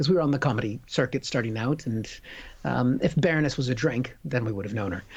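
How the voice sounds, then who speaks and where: Pitch rises and falls in an ordinary way, and there is a somewhat breathy quality. The delivery is fairly quick. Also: man. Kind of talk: casual chat, comedy banter.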